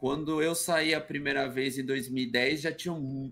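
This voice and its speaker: This is a man with an ordinary speaking voice. He talks at a fairly slow pace with a medium pitch. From Brazil, São Paulo ABC region (Santo André). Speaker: retired footballer and streamer. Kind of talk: casual chat. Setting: video call.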